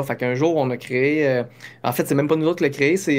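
Talking at a very fast pace, a man with a fairly high voice is heard in a very clean recording with a silent background. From Quebec. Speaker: business founder. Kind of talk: interview. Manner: halting.

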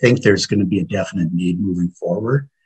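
Somewhat breathy and very deep and low, a man's voice comes through with a dry, close sound and no echo. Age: 60s. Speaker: paramedic and EMS educator. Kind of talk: interview.

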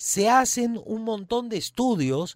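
In a very clean recording with a silent background, a man's voice comes across with a dry, close sound with no echo. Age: 40s. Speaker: radio host. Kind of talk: casual chat.

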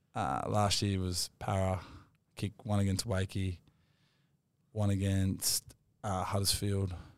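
On a very clean recording with a silent background, a man with an Australian accent speaks very slowly at a fairly low pitch, with long, frequent pauses. His loudness stays very even and his intonation fairly even. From Australia, Wollongong. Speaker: professional rugby league player. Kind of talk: casual interview.

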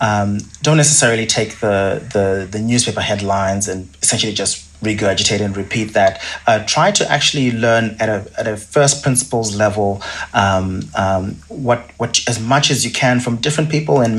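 Over noticeable background noise, a man with a Zimbabwean accent speaks at a moderate pace in a fairly low pitch with ordinary pitch variation. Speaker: investment research director. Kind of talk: podcast interview. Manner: halting, repeats words with many fillers.

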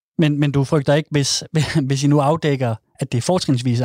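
In a very clean, dry, close recording with a silent background and no echo, a man with a fairly high voice and a dark, mellow tone speaks at a fairly quick pace with fairly even intonation. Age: 30s. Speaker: radio host. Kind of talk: casual chat; scripted narration.

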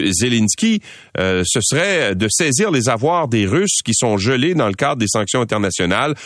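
Very wide pitch swings around a medium pitch from a man at a fairly slow pace, over a quiet background. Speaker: radio news host. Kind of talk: news commentary and interviews.

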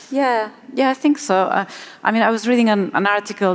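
Woman with a Spanish accent and ordinary pitch variation. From Spain. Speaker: marine ecologist. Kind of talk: panel discussion.

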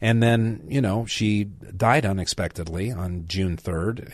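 A plain, everyday voice from a man, fairly low in pitch with ordinary pitch variation, over a quiet background. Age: 60s. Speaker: radio talk show host and lawyer. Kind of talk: talk radio. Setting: radio studio.

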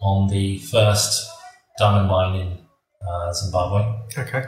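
A man's fairly low-pitched, somewhat breathy voice. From raised abroad by British parents (Trinidad, Mexico, Brazil, Kenya). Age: 50s. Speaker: mining entrepreneur. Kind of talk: interview.

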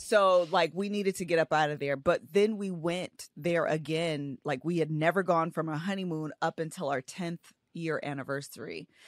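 A woman with an ordinary speaking voice talks at a moderate pace with hardly any pauses. Her pitch is fairly low and her intonation fairly even, in a dry, close sound with no echo. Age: 30s. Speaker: author and social media creator. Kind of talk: casual interview chat.

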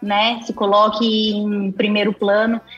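With music in the background, a woman talks in a fairly high pitch and a monotone, flat intonation. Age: 20s. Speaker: agronomist and consultancy executive. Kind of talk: casual interview.

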